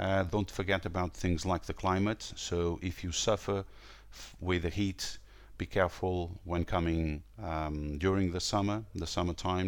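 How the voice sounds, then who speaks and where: The speaker talks at a moderate pace with a Portuguese accent. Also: man. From northern Portugal. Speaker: tour company owner. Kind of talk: interview. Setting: remote call. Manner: hesitant, many fillers.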